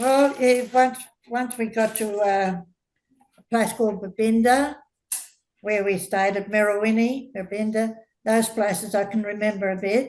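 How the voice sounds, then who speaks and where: A woman's fairly high voice with an Australian accent, fairly slow and fairly even in intonation. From Australia (Queensland, then Adelaide and Sydney). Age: 80s+. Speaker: elderly interviewee recalling migrant childhood. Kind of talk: casual interview.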